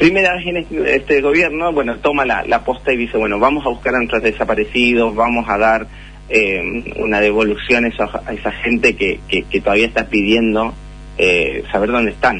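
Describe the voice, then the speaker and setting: Speech comes at a moderate pace against noticeable background noise. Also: man. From Chile. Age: 40s. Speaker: journalist. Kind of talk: interview.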